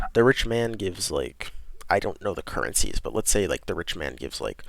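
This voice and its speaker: A man is speaking. His voice is quiet. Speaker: podcast host. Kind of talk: reading aloud with casual commentary.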